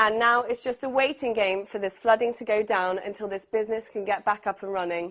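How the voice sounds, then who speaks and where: A woman's fairly high voice, a plain, everyday voice, at a fairly quick pace with fairly even intonation and hardly any pauses. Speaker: TV and radio reporter. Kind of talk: on-location news report.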